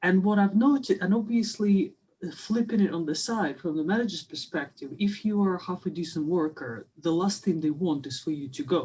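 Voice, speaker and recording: A woman speaks at a moderate pace in a medium pitch, her dark, mellow tone somewhat breathy and her intonation lively. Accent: non-native. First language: not English. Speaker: webinar attendee. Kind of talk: audience question. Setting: video call. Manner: halting.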